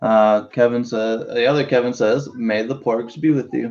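Fairly even intonation marks this man's medium-pitched voice, which has a slightly mellow tone. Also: moderate pace.

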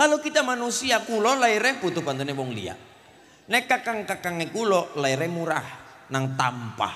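A man speaks in a raised, projected voice with a bright, sharp tone and high pitch. His pitch swings very widely at a moderate pace. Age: 20s. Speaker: preacher. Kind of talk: sermon. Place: hall. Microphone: handheld.

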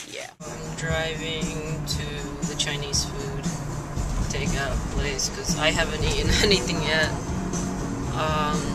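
Over loud background music, a woman speaks at a very slow pace with long, frequent pauses. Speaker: vlogger. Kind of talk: casual vlog chat. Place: car. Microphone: phone near.

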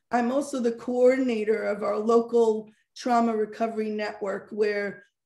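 Against a quiet background with audible room echo, a woman with an American accent speaks in a dark, mellow tone. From Monsey, New York, US; New York. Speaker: social worker and parenting coach; parenting coach. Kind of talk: interview. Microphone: video call.

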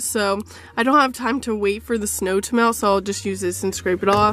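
A woman speaks with fairly even intonation. The sound is dry, with no echo. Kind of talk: casual vlog chat. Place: car. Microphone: phone near.

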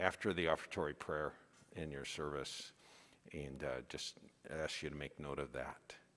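There is vocal fry in this man's voice. He talks at a fairly slow pace. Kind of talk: church announcements. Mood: relaxed, lightly humorous. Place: church.

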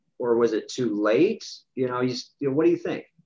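A man talks at a fairly quick pace with lively intonation against a quiet background. He has an ordinary speaking voice. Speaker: financial advisor. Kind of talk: casual interview. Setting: in-person office recording with video. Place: office. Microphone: video call.

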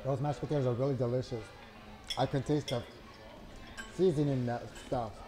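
Clear music plays in the background. A man talks with ordinary pitch variation. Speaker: food vlogger. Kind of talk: casual vlog chat, food review. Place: cafe. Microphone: lapel.

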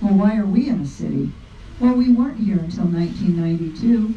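Audible room echo surrounds a woman speaking with ordinary pitch variation. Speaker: train conductor narrator. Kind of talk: tour guide narration. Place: train.

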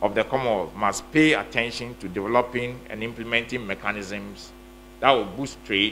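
Light background noise sits behind a man speaking at a moderate pace with ordinary pitch variation. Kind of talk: formal speech. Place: hall. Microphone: podium.

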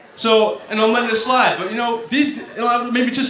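Audible room echo surrounds a man speaking with an American accent. His pace is fairly quick and his tone fairly bright.

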